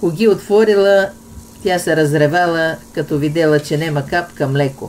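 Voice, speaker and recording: A woman's fairly low voice in a northwestern Bulgarian accent, at a fairly slow pace with ordinary pitch variation. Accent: Vratsa dialect. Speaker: cooking channel host. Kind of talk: folk joke telling.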